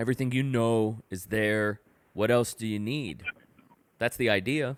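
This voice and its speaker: An unremarkable speaking voice with an American accent, moderate in pace and fairly even in intonation, in a dry, close sound with no echo. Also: man, medium pitch for a man. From Rio Grande Valley, Texas (Donna). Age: 30s. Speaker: podcast host. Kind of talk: casual chat.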